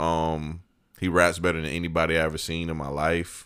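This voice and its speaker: In a very clean recording with a silent background, a man with a very deep, low voice speaks at a moderate pace. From US South, Georgia (Evans). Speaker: podcast host, guest co-host. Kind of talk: casual chat.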